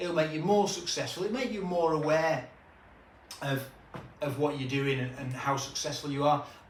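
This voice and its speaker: Over noticeable background noise and audible room echo, a man with a British accent speaks at a fairly high pitch. His pitch variation is ordinary, and he leaves long, frequent pauses. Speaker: recruitment business trainer. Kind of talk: business tutorial. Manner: fast.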